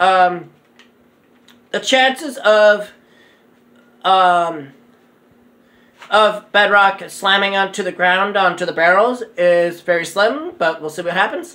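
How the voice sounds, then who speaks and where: Long, frequent pauses break up speech delivered very slowly. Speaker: gaming YouTuber. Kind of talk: gameplay commentary. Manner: halting.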